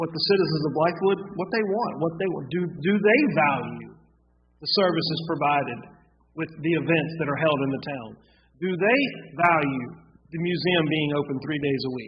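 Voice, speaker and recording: A man with an American accent and a fairly high pitch speaks at a moderate pace with ordinary pitch variation, over noticeable background noise. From US South, South Carolina (Gaffney). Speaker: town council member. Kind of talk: public meeting discussion.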